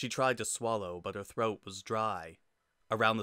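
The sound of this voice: The reading voice is unforced. Nothing stirs in the quiet background.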